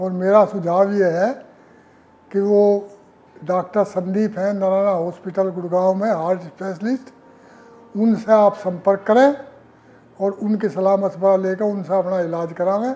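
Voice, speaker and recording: Long, frequent pauses break up this man's speech. His voice is high-pitched, with fairly even intonation. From India, western Uttar Pradesh (Muzaffarnagar). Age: 70s. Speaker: heart surgery patient, retired government employee. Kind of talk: testimonial interview.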